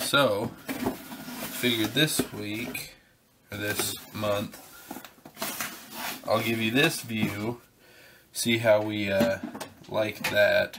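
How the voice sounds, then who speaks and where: A man speaks at a very slow pace, with long, frequent pauses. His intonation is fairly even, and there is noticeable background noise. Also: medium pitch for a man. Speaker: survival channel host, product unboxing. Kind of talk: casual unboxing video.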